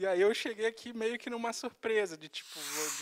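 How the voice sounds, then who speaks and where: A man with a Rio de Janeiro accent speaks at a fairly quick pace in a very clean recording with a silent background and a dry, close sound with no echo. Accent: carioca. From Rio de Janeiro, Brazil. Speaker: video editor and content creator. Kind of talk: interview.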